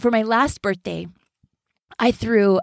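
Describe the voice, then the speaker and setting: The woman's voice is fairly high in pitch, with a dry, close sound and no echo. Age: 40s. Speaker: podcast host. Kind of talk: solo podcast monologue.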